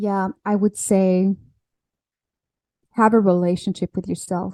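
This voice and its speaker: A woman speaks with medium pitch and fairly even intonation in a dark, mellow tone. The sound is dry and close with no echo, on a very clean recording with a silent background. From France. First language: French. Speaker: alignment coach. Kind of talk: podcast interview. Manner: halting.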